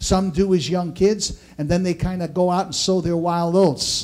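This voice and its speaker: Middling-paced speech is heard with a quiet background. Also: man. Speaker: pastor preaching. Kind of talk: sermon. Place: church.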